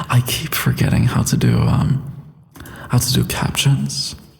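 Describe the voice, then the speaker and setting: Noticeable background noise accompanies a man. He speaks at a fairly slow pace. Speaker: voice actor. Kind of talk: casual livestream chat.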